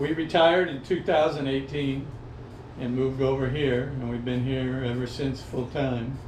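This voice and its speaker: A man's fairly even, medium-pitched voice keeps a moderate pace amid audible room echo. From Hawaii (Maui), born in Los Angeles County. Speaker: retired expat surfer. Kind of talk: interview. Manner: relaxed, many fillers.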